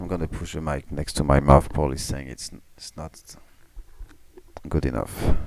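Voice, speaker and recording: A quiet man's voice, very deep and low in pitch, with fairly even intonation, big swings in loudness, long, frequent pauses and noticeable background noise. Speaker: game commentator. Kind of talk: live commentary. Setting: home, family asleep. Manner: slow. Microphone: mic pushed close to mouth.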